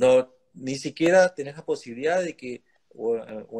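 The intonation is lively. The background is quiet. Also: man. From Argentina. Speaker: lawyer and think-tank director, interviewer; interviewer, lawyer. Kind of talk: interview conversation. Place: home room. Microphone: video call.

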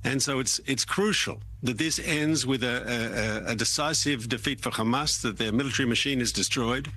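The speaker has vocal fry and ordinary pitch variation, talking at a moderate pace in a dry sound with no echo. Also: man. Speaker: remote guest. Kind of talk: interview answer. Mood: firm, measured. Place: studio.

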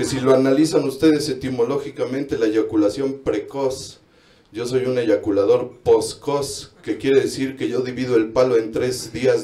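A man speaks with a Mexican accent and fairly even intonation, with audible echo in the room. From Mexico. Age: 30s. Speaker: comedian. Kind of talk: stand-up. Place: bar.

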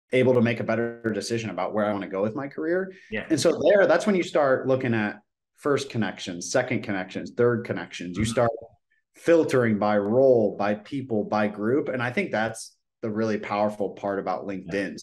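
A man talking at a fairly quick pace with lively intonation. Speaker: guest career coach. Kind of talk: interview answer. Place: home room. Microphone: video call.

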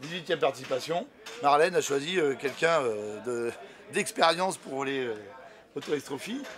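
Over light background noise, a man with a fairly high pitch and ordinary pitch variation talks at a fairly slow pace, leaving long, frequent pauses. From France. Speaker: motorcycle show host. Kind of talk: field reporting and interviews. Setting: outdoors at a race paddock. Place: tent.

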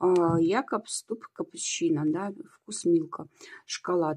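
A woman talks at a fairly slow pace with lively intonation. The background is quiet. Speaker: video blogger. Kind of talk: casual product review vlog. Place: home room. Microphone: phone near.

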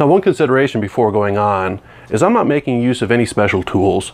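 With ordinary pitch variation, a man talks at a medium pace. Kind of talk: tutorial. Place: workshop. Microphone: lapel.

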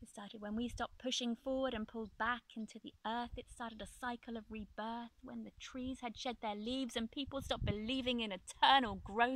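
At a moderate pace, a woman speaks in a dry sound with no echo over noticeable background noise. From Ireland. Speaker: spoken word poet. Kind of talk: spoken word poetry performance. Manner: rhythmic. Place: open country.

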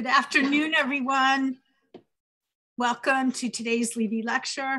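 A woman with a raised, projected voice speaks at a fairly slow pace, her tone bright and sharp, her pitch high and her intonation monotone and flat. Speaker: event host introducing a speaker. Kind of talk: event host introduction. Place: home room. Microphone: headset.

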